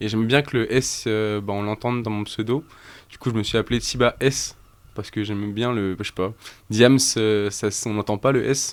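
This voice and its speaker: A man's fairly low voice with fairly even intonation and big swings in loudness, at a moderate pace, in a very clean recording with a silent background. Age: 20s. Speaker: rapper. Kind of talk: casual chat. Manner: halting.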